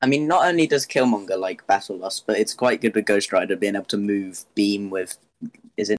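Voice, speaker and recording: Dry, close sound with no echo from a man with a British accent, fairly low in pitch, at a moderate pace with ordinary pitch variation. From UK. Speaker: tabletop gamer. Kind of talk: casual chat.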